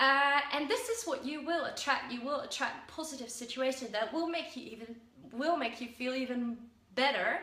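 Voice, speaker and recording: Her voice raised and projected, a woman with a Dutch accent speaks high-pitched at a moderate pace with ordinary pitch variation, with audible room echo around her. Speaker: self-help vlogger. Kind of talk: casual talk to camera. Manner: halting with fillers.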